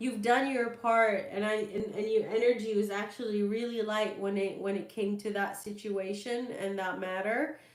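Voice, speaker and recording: Over noticeable background noise, a woman with a fairly high voice talks at a moderate pace with fairly even intonation and hardly any pauses. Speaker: tarot reader. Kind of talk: live stream Q&A reading. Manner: hesitant, many fillers.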